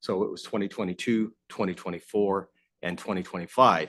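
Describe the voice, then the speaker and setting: Someone with an Ontario accent talks very fast. The background is quiet. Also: man. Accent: Canadian (Ontario). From Southern Ontario. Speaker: asset management consultant. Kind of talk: presentation to council. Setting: council chamber. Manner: loud.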